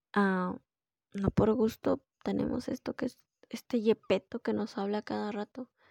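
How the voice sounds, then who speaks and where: A woman with a normal speaking voice, medium-pitched and fairly even in intonation, at a fairly slow pace, dry and close with no echo. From Peru. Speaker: podcast host. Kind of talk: solo monologue podcast.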